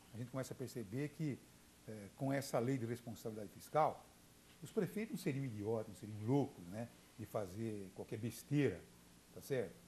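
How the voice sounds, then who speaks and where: A man's medium-pitched, somewhat breathy voice, dark and mellow, at a moderate pace. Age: 60s. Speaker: journalist and radio broadcaster. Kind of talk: TV interview. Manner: halting, many fillers and repetitions.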